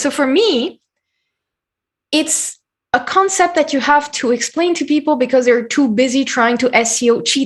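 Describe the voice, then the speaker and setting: A woman with a French accent speaks at a moderate pace. Her voice is high with lively intonation. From France. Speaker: SEO consultant. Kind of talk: podcast interview.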